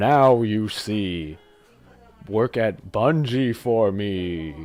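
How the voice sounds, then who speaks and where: A man performs a put-on character voice at a fairly low pitch and a very slow pace. Faint music plays in the background. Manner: devilish.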